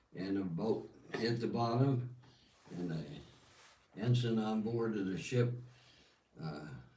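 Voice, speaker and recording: Very slowly and with long, frequent pauses, a man talks in a dark, mellow tone at medium pitch. His pitch varies in an ordinary way, and room echo is audible. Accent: American. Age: 80s+. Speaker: war veteran. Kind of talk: testimony. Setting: livestream in Holland.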